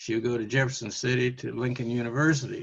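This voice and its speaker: At a fairly quick pace, a man with an American accent speaks in a somewhat breathy voice. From US Midwest, Canton, Missouri. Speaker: interviewee, college alumnus. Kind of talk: oral history interview. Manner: halting, many fillers.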